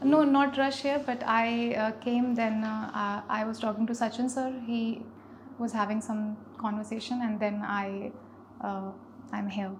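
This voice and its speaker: A woman's fairly high voice with fairly even intonation and long, frequent pauses, in audible room echo. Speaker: exam candidate. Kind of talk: mock interview feedback. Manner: slow; halting.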